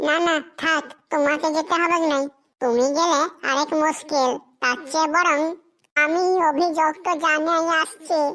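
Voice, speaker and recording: A woman performs a cartoonish character voice, high-pitched with a monotone, flat intonation. She keeps a moderate pace and very even loudness. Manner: nervous, bumbling.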